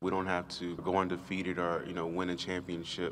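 A man with a very deep, low voice talks at a fairly quick pace in a flat monotone over light background noise. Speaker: college football player. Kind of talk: press interview. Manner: halting. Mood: reflective, somber yet hopeful. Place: hall. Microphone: podium.

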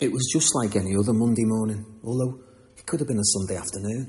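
In a Liverpool accent, a man speaks at a fairly low pitch with a dark, mellow, somewhat breathy tone over light background noise. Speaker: poet. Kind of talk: comic poetry reading. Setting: live reading in a barber shop. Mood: dry deadpan humour. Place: shop.

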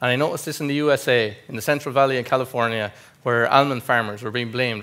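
Speaking at a very fast pace with an Irish Midlands accent, the man has a bright, sharp tone and fairly even intonation. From Ireland, County Westmeath; Ireland. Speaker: agribusiness specialist presenting research; conference presenter. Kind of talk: conference presentation. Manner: formal. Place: hall.

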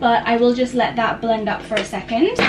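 Clear music sounds in the background. Over it, a woman talks at a moderate pace. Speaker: lifestyle vlogger. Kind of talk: casual vlog chat. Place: kitchen. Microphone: camera far.

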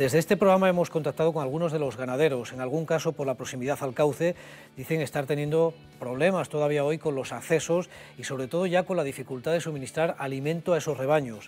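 Faint music sits in the background as the speaker talks at a very fast pace. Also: man, ordinary pitch variation. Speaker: news presenter. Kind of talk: news presentation. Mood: sober, serious. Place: studio. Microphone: lapel.

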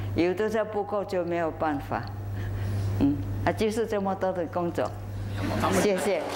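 Moderate pace with long, frequent pauses over noticeable background noise. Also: woman, fairly low pitch for a woman, lively intonation. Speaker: charity worker. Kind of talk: interview answer. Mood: warm, smiling. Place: stage. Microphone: lapel.

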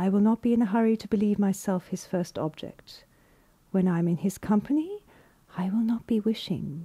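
At a moderate pace, the voice sounds dark and mellow, somewhat breathy, with pitch that varies in an ordinary way. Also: woman, medium pitch for a woman. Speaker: voice artist. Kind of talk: audiobook reading.

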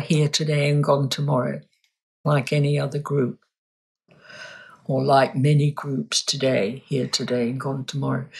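A woman with a southern English accent speaks at a fairly slow pace in a somewhat breathy voice. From London, England. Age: 80s+. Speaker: reflexologist and energy healer. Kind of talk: interview answer.

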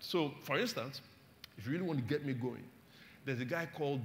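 Over light background noise, a somewhat breathy man talks with ordinary pitch variation. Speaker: pastor. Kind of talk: sermon. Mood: warm, humorous. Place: church. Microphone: lapel.

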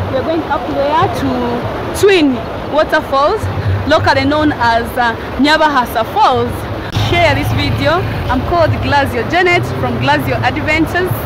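Music plays in the background of this dry recording with no echo. The speech moves at a moderate pace. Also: woman. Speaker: travel vlogger. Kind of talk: casual vlog chat. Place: open country. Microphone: phone near.

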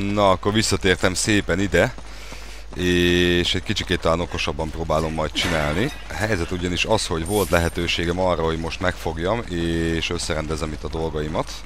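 Over noticeable background noise, a man with a very deep, low pitch talks at a fairly quick pace with ordinary pitch variation. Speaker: gaming video creator. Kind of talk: let's play commentary. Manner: animated.

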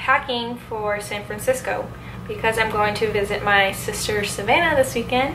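A woman's voice amid noticeable background noise. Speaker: vlogger. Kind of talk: casual vlog chat. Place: home room. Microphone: phone near.

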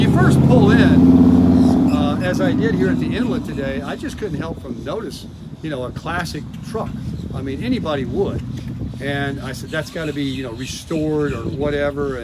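Moderate-paced speech under loud background noise. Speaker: vlogger. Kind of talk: casual vlog chat. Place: street. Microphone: phone near.

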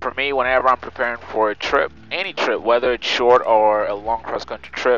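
Against faint music in the background, a man speaks at a moderate pace with fairly even intonation in a dry sound with no echo. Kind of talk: casual vlog commentary.

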